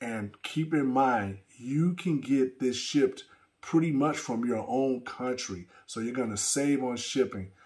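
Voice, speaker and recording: Against a quiet background, a man with an American accent talks at a fairly slow pace, at medium pitch with ordinary pitch variation. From US Midwest. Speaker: electronic music producer and DJ. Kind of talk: casual video update. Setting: studio. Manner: halting, many fillers. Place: studio.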